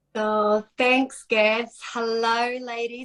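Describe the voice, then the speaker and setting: This woman has a fairly high pitch and speaks with a New Zealand accent. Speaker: fitness instructor turned online entrepreneur. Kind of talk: testimony. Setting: Facebook live video call. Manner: animated.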